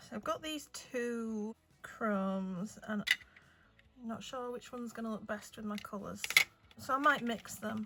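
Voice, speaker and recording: A woman with a fairly high pitch speaks at a fairly slow pace, with ordinary pitch variation. Long, frequent pauses break her speech over noticeable background noise. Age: 40s. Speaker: nail artist. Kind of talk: casual chat. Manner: younger-sounding voice.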